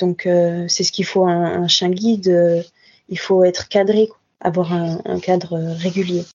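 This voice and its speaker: Speaking fairly slowly, a woman with a fairly low voice keeps a monotone, flat intonation. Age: 20s. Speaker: veterinary student and guide dog foster carer. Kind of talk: casual interview. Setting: video call.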